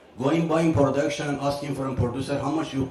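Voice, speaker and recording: The intonation stays fairly even, with audible room echo and noticeable background noise. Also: man. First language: not English. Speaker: film distributor and exhibitor. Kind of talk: panel discussion. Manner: halting.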